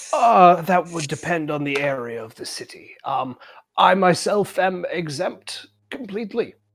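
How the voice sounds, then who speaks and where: At a moderate pace, a put-on character voice speaks in a middle pitch. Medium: actual play. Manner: polite, hesitant.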